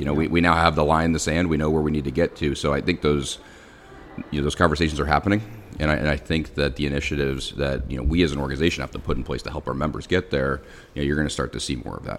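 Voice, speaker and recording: The speech comes at a very fast pace with fairly even intonation, in an American accent. Noticeable background noise is present. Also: man, very deep, low pitch for a man. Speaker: association chief executive. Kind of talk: interview conversation. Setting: hotel lobby with background noise.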